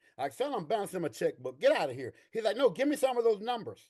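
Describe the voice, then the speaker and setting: An animated voice in an East Texas accent, with very wide pitch swings. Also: man. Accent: East Texas Southern US. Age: 60s. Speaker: army veteran and veterans' claims coach. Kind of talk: interview.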